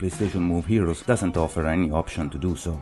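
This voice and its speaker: A man's very deep, low voice at a fairly quick pace, with music in the background. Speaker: video game reviewer. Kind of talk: game review narration.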